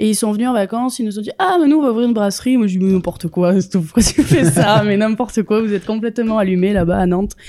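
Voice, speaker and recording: Talking at a very fast pace with hardly any pauses, a woman with fairly high pitch has a dark, mellow tone and ordinary pitch variation. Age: 30s. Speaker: microbrewer. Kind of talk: casual chat.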